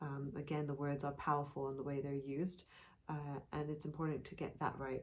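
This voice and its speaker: A woman mumbles at a fairly quick pace. Her very deep, low voice is monotone and flat. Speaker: podcast co-host. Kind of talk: casual chat. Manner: mumbles words, per self.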